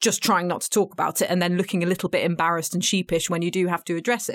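A woman speaks with a British accent at a medium pitch. The recording is very clean, with a silent background. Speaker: podcast host and journalist. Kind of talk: casual political discussion. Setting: studio.

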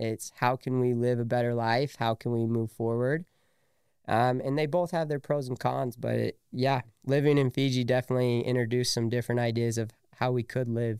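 A man with an ordinary speaking voice, medium in pitch, at a fairly quick pace with fairly even intonation. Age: 20s. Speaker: entrepreneur. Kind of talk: casual chat.

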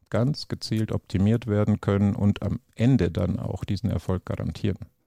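A man's voice sits fairly low in pitch, with a dark, mellow tone. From Bavaria. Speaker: entrepreneur and business consultant. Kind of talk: podcast interview.

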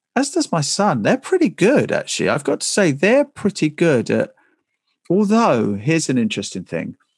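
The delivery moves at a moderate pace. The sound is dry and close, with no echo. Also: man. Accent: southern English. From England, Essex. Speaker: broadcaster and author. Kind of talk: interview.

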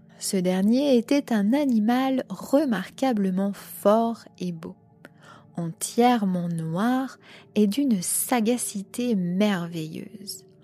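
Over music in the background, a woman talks at a very slow pace in a solemn tone, with medium pitch and ordinary pitch variation. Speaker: podcast host reading aloud. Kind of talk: literary horror audiobook reading, first-person gothic narration. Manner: slow, deliberate, solemn storytelling with a grave, suspenseful tone.

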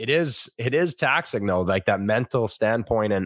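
In a plain, everyday voice, a man with a Canadian accent talks at a medium pitch with ordinary pitch variation, in a dry, close sound with no echo. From northern Ontario, Canada (Thunder Bay). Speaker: former pro hockey goalie, guest co-host. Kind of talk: casual sports chat.

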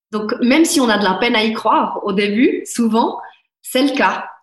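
A woman's fairly high voice at a fairly slow pace, ordinary pitch variation, audible room echo. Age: 30s. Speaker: life coach. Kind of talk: interview.

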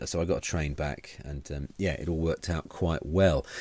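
This is a man with a very deep, low voice. He speaks in an English accent. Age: 40s. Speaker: comedian and podcast co-host. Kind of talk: casual chat. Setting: video call.

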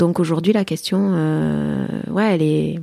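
A woman speaks at a very slow pace. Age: 40s. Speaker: adoptive mother. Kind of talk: interview testimony. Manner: halting.

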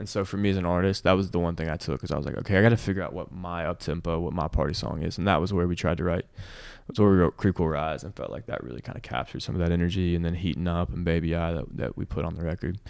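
Speaking very fast with an American accent, a man has a very deep, low pitch and vocal fry. The recording is very clean, with a silent background. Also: ordinary pitch variation. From US South. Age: 20s. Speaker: country singer-songwriter. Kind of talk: casual interview chat.

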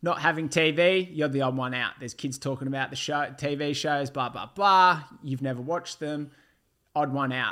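A man with an Australian accent, bright, sharp in tone, at a moderate pace with fairly even intonation, on a very clean recording with a silent background. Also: fairly high pitch for a man. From Melbourne outer east, Australia. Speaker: former reality TV contestant. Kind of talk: casual interview.

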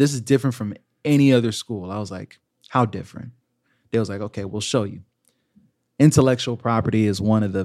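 A man speaks with an American accent in a fairly low pitch. His pitch variation is ordinary, and the recording is very clean with a silent background. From US South, Georgia (Augusta). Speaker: content creator and Army veteran. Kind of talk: casual chat.

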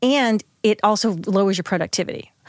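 An unremarkable speaking voice at a moderate pace with ordinary pitch variation, dry, close sound with no echo, and a very clean recording with a silent background. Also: woman. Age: 50s. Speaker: coach. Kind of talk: casual chat. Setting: studio.

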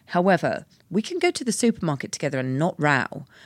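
A woman with a British accent and a fairly low pitch. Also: very clean recording, silent background. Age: 40s. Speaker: body positivity activist, former stylist. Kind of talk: casual chat.

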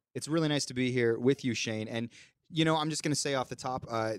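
A man with an ordinary speaking voice and ordinary pitch variation is heard in a very clean recording with a silent background. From Canada. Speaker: podcast host. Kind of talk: casual chat. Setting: studio.

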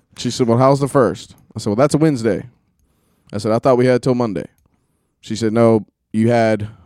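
A man with an American accent, animated and fairly quick, at a medium pitch, with a dry, close sound and no echo. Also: long, frequent pauses. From West Georgia, US (Carrollton). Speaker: podcast co-host, truck driver. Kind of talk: casual chat.

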